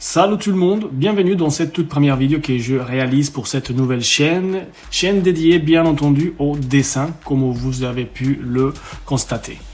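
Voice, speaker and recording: A man's fairly high-pitched voice with a slight Colombian accent, moderate pace and ordinary pitch variation. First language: Spanish (speaking French). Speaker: drawing tutorial youtuber, freelance artist. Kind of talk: channel introduction monologue. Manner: hesitant, with filler pauses.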